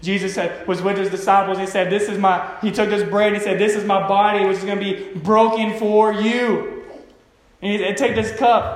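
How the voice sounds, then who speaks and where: Noticeable background noise surrounds a man with a high pitch. His intonation stays fairly even. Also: moderate pace. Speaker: pastor. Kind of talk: sermon. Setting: church with congregation and microphone. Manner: halting, many fillers.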